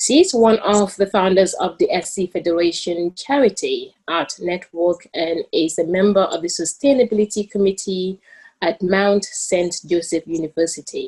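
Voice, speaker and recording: In a Gambian accent, a woman with a medium pitch sounds somewhat breathy and varies her pitch in an ordinary way. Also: moderate pace, hardly any pauses. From The Gambia. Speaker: student moderator. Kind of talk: panel introduction.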